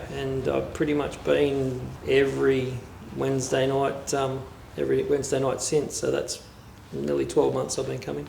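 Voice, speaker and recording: A man is speaking in a room with audible echo. Noticeable background noise runs underneath. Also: moderate pace. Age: 50s. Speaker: community choir member. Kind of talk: interview testimony.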